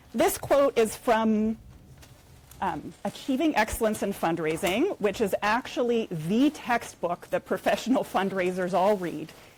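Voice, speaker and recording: With an American accent, a woman talks at a fairly slow pace. Her fairly high pitch carries lively intonation. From United States. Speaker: nonprofit fundraising executive. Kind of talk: conference talk. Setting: conference room with audience.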